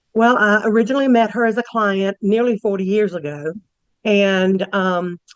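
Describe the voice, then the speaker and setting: Recorded with a dry, close sound and no echo, a woman in a normal speaking voice talks at medium pitch and moderate pace with ordinary pitch variation. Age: 60s. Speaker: character witness. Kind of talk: court testimony.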